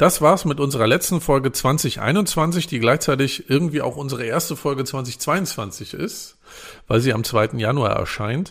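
A somewhat breathy man at a fairly slow pace, fairly high in pitch with ordinary pitch variation, on a very clean recording with a silent background. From northern Germany. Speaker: podcast co-host, journalist. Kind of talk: casual chat.

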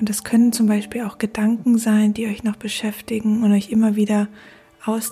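With music in the background, a woman speaks in a calm, soothing tone at a fairly high pitch, her intonation monotone and flat. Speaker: podcast host guiding a meditation. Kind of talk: guided meditation. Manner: slow, calm and soothing, with long pauses.

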